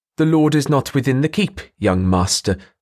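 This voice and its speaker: This man puts on a character voice at a medium pitch, his pitch swinging very widely. He talks at a moderate pace in a very clean recording with a silent background. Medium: read story. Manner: patronizing.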